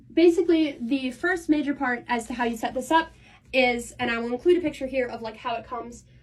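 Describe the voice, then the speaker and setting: The speaker moves at a fairly quick pace with ordinary pitch variation. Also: woman. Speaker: content creator. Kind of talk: tutorial. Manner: fast.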